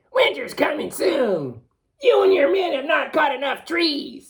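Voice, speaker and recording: A put-on character voice is delivered fairly slowly. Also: man, extremely high pitch for a man. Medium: read story. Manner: curt, snappish.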